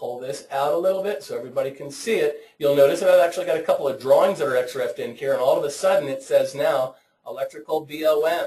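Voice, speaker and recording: Speaking at a very fast pace, a man barely pauses at all. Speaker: software trainer. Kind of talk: webinar tutorial. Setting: online webinar.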